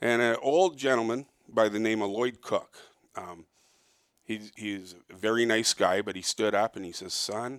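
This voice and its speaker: This very clean recording with a silent background features a man with an ordinary speaking voice and a Canadian accent. He talks at a fairly low pitch and a moderate pace with ordinary pitch variation. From Toronto, Canada. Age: 60s. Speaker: fur trapper. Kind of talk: casual interview. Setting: in person, downtown Toronto.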